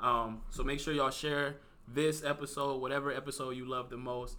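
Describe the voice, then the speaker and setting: A man speaks in an American accent at a moderate pace. His tone is bright and sharp, his pitch medium, and his intonation monotone and flat. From Cleveland, Ohio. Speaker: podcast host. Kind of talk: casual interview chat.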